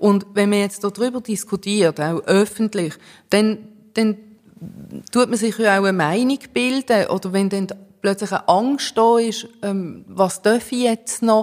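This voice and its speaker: A woman speaks at a medium pitch and a fairly slow pace. Long, frequent pauses break up her speech. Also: fairly even intonation. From immigrant to Switzerland. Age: 40s. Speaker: cantonal politician. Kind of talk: political debate. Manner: hesitant, many fillers.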